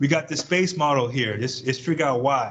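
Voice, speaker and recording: The voice is somewhat breathy, with ordinary pitch variation and audible room echo. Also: man. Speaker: chemistry professor. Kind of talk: lecture. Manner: fast.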